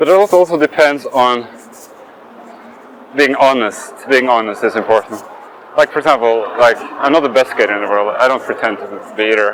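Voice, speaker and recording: A man at medium pitch with lively intonation, long, frequent pauses and noticeable background noise. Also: fairly quick pace. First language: not English. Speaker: skating youtuber. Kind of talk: casual vlog monologue while skating. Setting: outdoors, skating near traffic. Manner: hesitant, with fillers and restarts.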